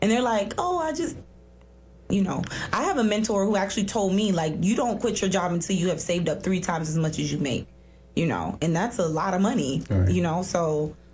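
A woman's ordinary speaking voice with an American accent, medium in pitch, lively in intonation, fairly quick in pace and very even in loudness. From South Florida, US. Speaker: author.

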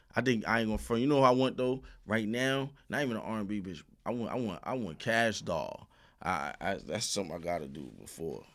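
Lively intonation in an American accent at a fairly quick pace, in a very clean recording with a silent background. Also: man, fairly low pitch for a man. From Brooklyn, New York (also Queens). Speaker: rapper. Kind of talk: casual chat.

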